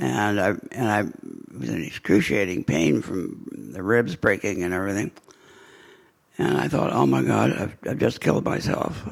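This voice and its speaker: A man with a very deep, low pitch and vocal fry speaks at a moderate pace, taking long, frequent pauses as his pitch swings very widely. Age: 90s. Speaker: retired scientist speaking about his Parkinson's. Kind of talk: talk to a group. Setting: speaking to a live group. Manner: halting, with many repeated words.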